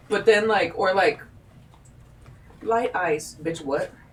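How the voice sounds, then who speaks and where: Noticeable background noise can be heard while a woman talks. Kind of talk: casual chat. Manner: animated.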